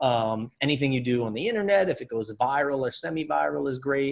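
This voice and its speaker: Talking at a very fast pace, a man with a medium pitch speaks in an American accent. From Pennsylvania (Reading). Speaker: mentalist and illusionist. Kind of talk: casual interview chat.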